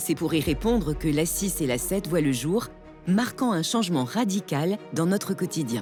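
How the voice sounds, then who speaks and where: Over music in the background, a woman with a fairly low pitch speaks fairly slowly, her intonation lively and her loudness very even. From France. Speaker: voice actor. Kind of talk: documentary narration.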